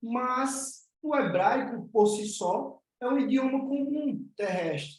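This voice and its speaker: A man with a northeastern Brazilian accent speaks at an extremely high pitch. His pace is very slow, and his pitch varies in an ordinary way. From Northeast Brazil. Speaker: spiritual teacher. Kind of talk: online class.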